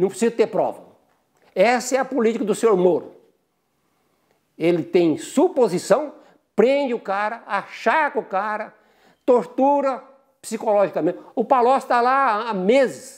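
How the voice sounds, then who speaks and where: Over a quiet background, the speaker uses lively intonation at a fairly slow pace with long, frequent pauses. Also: man, extremely high pitch for a man. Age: 70s. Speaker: retired physician and professor; professor. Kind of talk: testimony. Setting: at home. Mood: indignant. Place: home room. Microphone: lapel.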